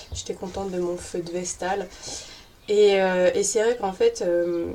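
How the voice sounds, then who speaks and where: The woman speaks at a fairly slow pace. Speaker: YouTuber on witchcraft and paganism. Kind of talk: casual vlog. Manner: spontaneous, many hesitations.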